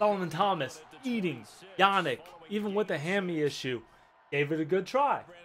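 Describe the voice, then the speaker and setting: A man with a high pitch speaks in an animated tone with lively intonation at a moderate pace, leaving long, frequent pauses over light background noise. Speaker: gaming YouTuber. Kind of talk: gameplay commentary.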